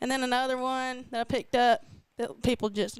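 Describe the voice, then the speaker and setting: A woman with a strong Southern US accent at a fairly quick pace, on a very clean recording with a silent background. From Georgia, Wilkinson County. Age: 30s. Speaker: fishing social media influencer. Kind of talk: casual interview chat.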